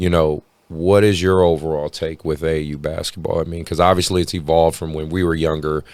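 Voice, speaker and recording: Speaking fairly quickly with an American accent, a man with a very deep, low pitch keeps a monotone, flat intonation. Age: 30s. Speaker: podcast host and youth basketball coach. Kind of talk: casual interview chat. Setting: basketball facility studio.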